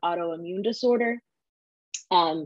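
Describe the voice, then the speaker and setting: In a dry, close sound with no echo, a woman with an unremarkable speaking voice talks at a medium pitch with fairly even intonation. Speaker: design educator. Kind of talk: interview.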